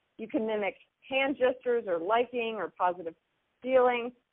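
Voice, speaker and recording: A loud woman in an enthusiastic tone, at a moderate pace with ordinary pitch variation. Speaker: marketing trainer. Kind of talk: teleconference training presentation. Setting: phone teleconference. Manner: loud and enthusiastic.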